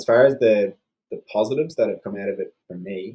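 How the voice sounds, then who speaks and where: This man has an Irish accent and a dark, mellow tone at a medium pitch. He talks at a moderate pace with ordinary pitch variation. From Ireland. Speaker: cancer survivor, interview guest. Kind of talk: podcast interview. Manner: hesitant, many fillers.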